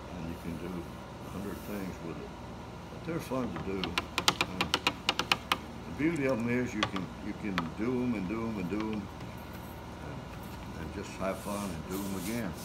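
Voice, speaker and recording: With an American accent, a man speaks at a moderate pace with long, frequent pauses amid loud background noise. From Tangier Island, Virginia. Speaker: watercolor painter and art teacher. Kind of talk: painting class demonstration. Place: classroom. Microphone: phone near.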